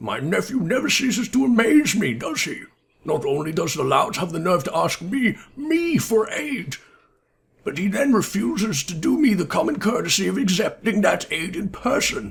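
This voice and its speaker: Using a put-on character voice, a man speaks at a moderate pace in a high pitch that swings very widely. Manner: disdainful, haughty.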